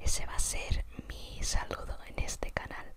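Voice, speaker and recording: Whispering over noticeable background noise. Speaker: illustrator. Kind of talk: whispered ASMR commentary. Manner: whispered.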